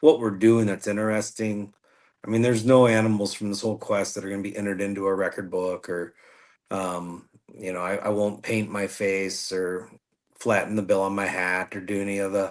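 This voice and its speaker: Speaking fairly quickly with a US Midwestern accent, a man uses a fairly low pitch and monotone, flat intonation against a quiet background. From US Midwest, northwest Indiana. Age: 40s. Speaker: podcast host and outdoor writer, guest. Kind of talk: casual interview chat.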